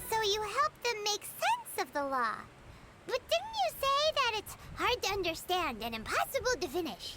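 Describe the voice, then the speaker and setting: A put-on character voice, extremely high and energetic, at a moderate pace over loud background noise. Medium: video game. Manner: energetic, inquisitive.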